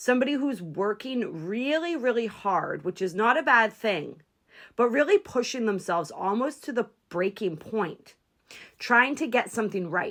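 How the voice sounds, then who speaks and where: On a very clean recording with a silent background, a woman speaks at a moderate pace in a fairly high voice with very wide pitch swings. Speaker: tarot reader. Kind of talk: tarot reading. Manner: casual, conversational.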